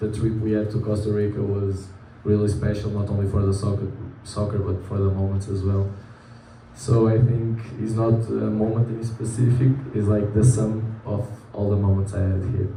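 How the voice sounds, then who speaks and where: A man with a Portuguese accent, fairly low-pitched and flat, monotone in delivery, at a moderate pace amid noticeable background noise and audible room echo. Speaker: college soccer player. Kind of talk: interview. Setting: live event in a bar venue. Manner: halting.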